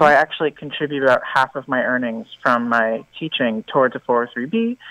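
A man with an American accent, a bright, sharp tone, and a moderate pace. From New York City. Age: 20s. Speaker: caller, part-time teacher. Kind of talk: call-in question. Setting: phone call.

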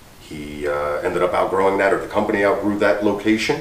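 A man with a low pitch talks at a fairly quick pace with ordinary pitch variation, and audible room echo surrounds his voice.

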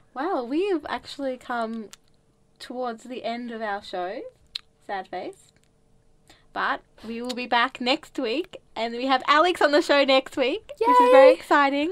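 A woman's high voice with lively intonation, a fairly slow pace, and long, frequent pauses. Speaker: radio show host. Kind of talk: casual radio chat. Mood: cheerful, laughing. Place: studio. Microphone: studio mic.

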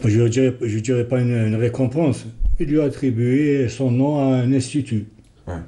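A man speaks in a dark, mellow tone at a moderate pace. His intonation stays fairly even. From Algeria. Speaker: descendant of a historical doctor; TV guest. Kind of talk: TV interview. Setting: TV studio. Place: studio. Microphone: lapel.

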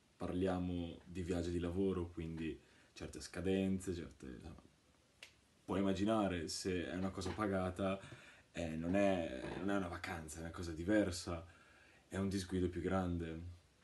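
A very deep, low-pitched man's voice in a flat monotone, at a moderate pace with long, frequent pauses, over light background noise. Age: 20s. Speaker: customer giving a testimonial. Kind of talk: testimonial. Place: home room. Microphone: phone near.

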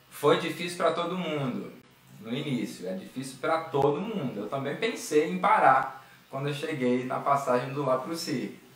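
With audible echo in the room, a man talks at a moderate pace. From Rio de Janeiro, Brazil (Santa Cruz). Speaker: clarinet teacher, military band musician. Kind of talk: online music workshop lecture. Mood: reflective, encouraging.

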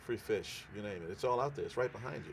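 A man with a New Orleans accent, light background noise behind him. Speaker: home cook. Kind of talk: interview answer. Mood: relaxed, enthusiastic. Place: waterside.

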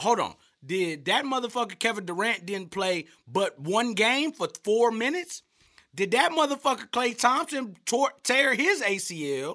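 A man's voice, pitched extremely high, swings very widely in pitch, with a bright, sharp tone and a raised, projected delivery over a quiet background. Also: fairly slow pace. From US. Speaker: sports commentator. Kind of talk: sports commentary rant, profane, comedic. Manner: loud, animated, ranting. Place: studio. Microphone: studio mic.

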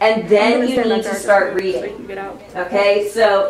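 Light background noise can be heard along with audible room echo. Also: woman. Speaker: teacher coaching student broadcast crew. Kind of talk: classroom instruction. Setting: school TV studio. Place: studio.

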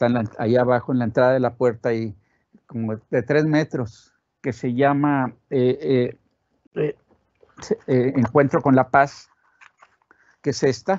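A man speaks at a fairly slow pace with long, frequent pauses, his medium pitch showing ordinary variation. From Monterrey, northern Mexico; Mexico. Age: 70s. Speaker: sculptor. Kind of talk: interview. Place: studio.

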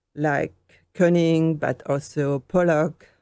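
This woman has a fairly low pitch, a dark, mellow tone, and a French accent. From France, Normandy. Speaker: painter. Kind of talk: interview.

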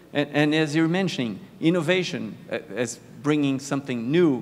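A man with a Brazilian accent speaks at a fairly high pitch amid audible room echo. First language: Portuguese. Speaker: panel moderator, innovation manager. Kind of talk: moderating a conference panel. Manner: halting, many fillers.

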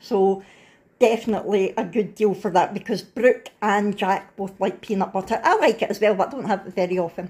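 Speaking at a fairly quick pace, a woman has a medium pitch with a slightly husky edge.

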